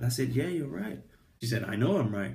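The voice has a dark, mellow tone with vocal fry. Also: man. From England. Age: 20s. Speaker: vlogger. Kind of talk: casual storytelling vlog. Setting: recording on iPad. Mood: animated storytelling, frank. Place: home room. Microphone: phone near.

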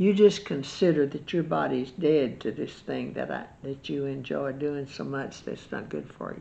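Speaking at a moderate pace with hardly any pauses, a woman uses a very deep, low pitch and a dark, mellow tone with vocal fry and big swings in loudness. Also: ordinary pitch variation. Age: 80s+. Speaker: Bible teacher. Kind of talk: Bible study chat; religious teaching talk. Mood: earnest, instructive. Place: home room. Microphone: webcam.

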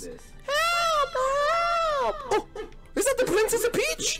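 An extremely high, squeaky put-on character voice at a very slow pace, with clear music in the background. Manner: distressed, pleading.

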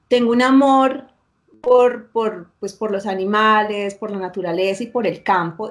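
This is a woman's voice. Her pitch is fairly high, with ordinary variation. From Colombia, northern Valle del Cauca (La Unión); Valle del Cauca, Colombia. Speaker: university operations manager; interview guest. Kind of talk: interview. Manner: animated. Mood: warm, animated storytelling. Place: office.

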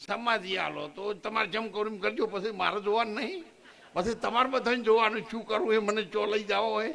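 A man projects a raised voice at a high pitch, with ordinary pitch variation. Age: 70s. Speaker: ashram founder, retired government employee. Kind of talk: speech at a religious function.

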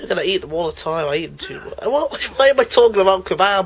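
Someone talks at a fairly quick pace with noticeable background noise behind the voice. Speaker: let's play gamer. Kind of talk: gameplay commentary. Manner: animated.

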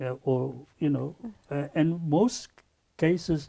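Over a quiet background, a man with a dark, mellow, somewhat breathy tone talks at a fairly slow pace with ordinary pitch variation. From South Africa. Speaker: photographer and artist; talk show guest. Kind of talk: panel discussion. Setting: university studio. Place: studio. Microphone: lapel.

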